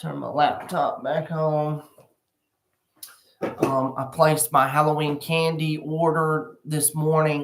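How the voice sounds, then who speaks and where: Someone speaks at a very slow pace. The voice has a Southern US accent. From US South. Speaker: realtor. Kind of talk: live stream real estate update. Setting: furniture store, live stream. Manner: casual, filler-heavy. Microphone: laptop mic instead of usual microphone.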